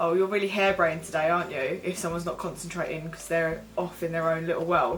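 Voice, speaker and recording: A woman speaks with an Essex accent. Music plays in the background. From Essex, England. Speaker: vlogger. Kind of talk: casual talk to camera.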